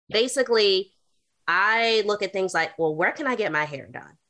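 A woman's bright, sharp voice in a Southern US accent, fairly quick and with lively intonation. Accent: Southern US, regional diction kept. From US South, North Carolina. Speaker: urban planner, author, artist and activist. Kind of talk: interview conversation.

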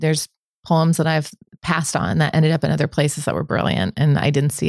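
A woman with an American accent speaks at a very fast pace. Her very deep, low pitch carries vocal fry. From Omaha, Nebraska, US Midwest. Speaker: food journalist and author. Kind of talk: interview conversation.

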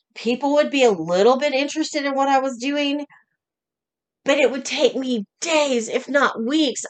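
Pitched high, a woman speaks with an American accent. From Oklahoma. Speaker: podcast host and business coach. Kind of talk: solo podcast monologue.

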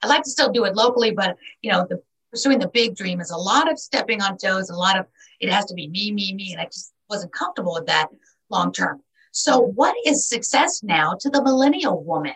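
A woman with an American accent speaks at a medium pitch. Her pitch swings very widely, and her loudness rises and falls in big swings. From New York City. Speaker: podcast host. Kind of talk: interview.

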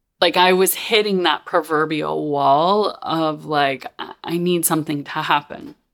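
A fairly slow delivery with hardly any pauses, on a very clean recording with a silent background. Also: woman. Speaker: podcast host and mentor. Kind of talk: personal storytelling monologue. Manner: casual, filler-heavy.

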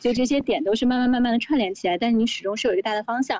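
A woman talks at a fairly high pitch. The sound is dry and close, with no echo. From Beijing. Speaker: founder of a cultural video brand. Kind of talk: casual chat. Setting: outdoor terrace in Beijing hutong courtyard.

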